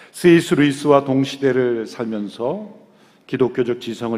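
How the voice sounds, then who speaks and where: A man speaks in a dark, mellow tone at a medium pitch. His pitch varies in an ordinary way. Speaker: pastor. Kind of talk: sermon.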